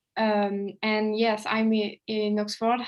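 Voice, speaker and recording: A woman speaks at a medium pitch. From France, Paris. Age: 20s. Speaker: law exchange student. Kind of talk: podcast interview. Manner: halting.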